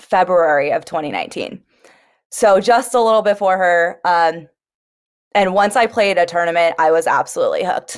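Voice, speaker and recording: In an unremarkable speaking voice with an American accent, the speaker keeps a moderate pace and ordinary pitch variation in a very clean recording with a silent background. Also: woman. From California. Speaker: professional pickleball player. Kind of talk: casual chat.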